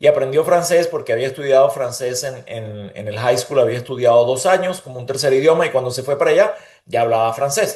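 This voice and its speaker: A somewhat breathy man with a Venezuelan accent, ordinary pitch variation, big swings in loudness and hardly any pauses. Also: medium pitch for a man, fairly quick pace. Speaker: leader and interviewee. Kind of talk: interview conversation.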